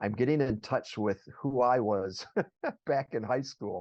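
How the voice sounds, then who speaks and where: The speech comes at a fairly slow pace with fairly even intonation, in a dry, close sound with no echo and a quiet background. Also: man. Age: 60s. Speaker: business owner. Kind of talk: interview.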